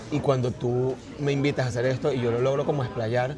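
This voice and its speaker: Music plays behind a man speaking at a fairly quick pace and a medium pitch. His intonation is monotone and flat, and the room echo is audible. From Venezuela, partly raised in China. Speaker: artist and writer. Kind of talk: casual interview conversation.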